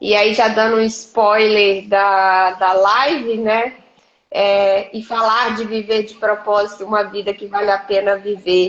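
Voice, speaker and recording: A woman with a Minas Gerais accent, very slow in pace and monotone, flat in intonation. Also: medium pitch for a woman. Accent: Minas Gerais (mineiro). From Minas Gerais, Brazil (Governador Valadares). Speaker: leadership mentor and coach. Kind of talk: live-stream interview. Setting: live video stream.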